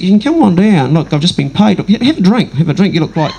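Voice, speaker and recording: Over noticeable background noise, a man with a New Zealand accent talks at a very fast pace with a high pitch and lively intonation. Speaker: comedian. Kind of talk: stand-up. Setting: stage with audience. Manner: animated.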